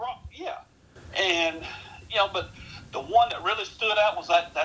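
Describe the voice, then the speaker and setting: Through noticeable background noise, a man with a Southern US accent talks at a moderate pace. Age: 60s. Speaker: sports historian. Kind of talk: podcast interview.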